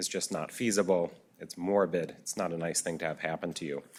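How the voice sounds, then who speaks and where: With a Minnesota accent, a man talks at a fairly quick pace. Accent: flat Minnesota. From US Midwest, Minnesota. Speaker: physician speaker. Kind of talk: lecture. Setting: auditorium with audience.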